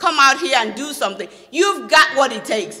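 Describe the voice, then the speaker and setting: A woman with a Nigerian accent, high-pitched, raised and projected, animated in tone, with very wide pitch swings and noticeable background noise. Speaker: motivational speaker. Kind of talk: speech. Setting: stage with audience.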